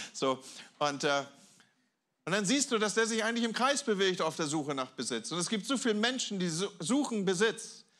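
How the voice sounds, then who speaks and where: A man speaks with a high pitch and very wide pitch swings against a quiet background. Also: moderate pace. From Germany, Hamburg; Germany. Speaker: guest pastor; preacher. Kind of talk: sermon. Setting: church with audience. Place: church. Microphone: handheld.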